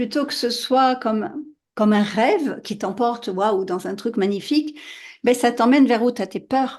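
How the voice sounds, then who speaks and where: A woman with a high voice speaks at a fairly slow pace with ordinary pitch variation. Behind her, the background is quiet. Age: 60s. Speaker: podcast host. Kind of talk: casual interview.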